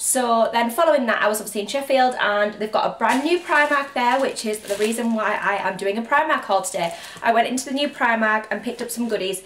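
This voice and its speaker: Very fast and with hardly any pauses, a woman with a North East England accent talks at a fairly high pitch with ordinary pitch variation over light background noise. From County Durham, North East England. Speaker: intensive care nurse and fashion youtuber. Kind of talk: casual talk to camera haul video. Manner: chatty, relaxed. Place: home room. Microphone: camera far.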